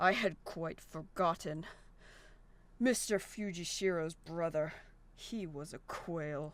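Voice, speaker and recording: In a put-on character voice at middle pitch, the speaker moves at a fairly slow pace with long, frequent pauses. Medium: actual play. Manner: cool, formal, detached.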